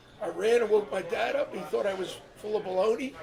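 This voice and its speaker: This high-pitched man talks with an American accent. Noticeable background noise and audible room echo fill the recording. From New Jersey Shore (Ventnor). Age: 70s. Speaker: longtime shore resident. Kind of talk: casual interview, storytelling. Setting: live show in a pub.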